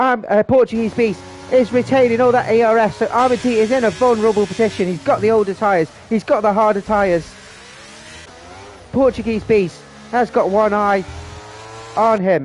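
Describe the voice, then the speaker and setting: At a moderate pace, a man with a high pitch keeps a very even loudness and ordinary pitch variation, with long, frequent pauses and noticeable background noise. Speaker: sim racing league commentator. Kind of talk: live commentary. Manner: animated; mumbling.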